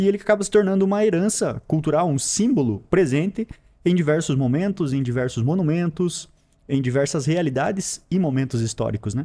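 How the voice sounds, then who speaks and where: With lively intonation and a dark, mellow tone, a man speaks fairly quickly at a fairly high pitch. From Paraná, southern Brazil (São Mateus do Sul). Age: 30s. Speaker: geography teacher and school director. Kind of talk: interview.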